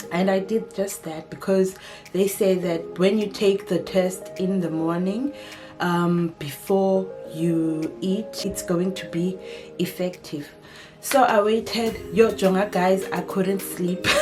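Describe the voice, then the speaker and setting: Over music in the background, a woman with a South African accent talks at a very slow pace, her medium pitch moving with ordinary variation. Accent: South African (Xhosa). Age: 20s. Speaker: lifestyle YouTuber. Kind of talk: casual talk to camera.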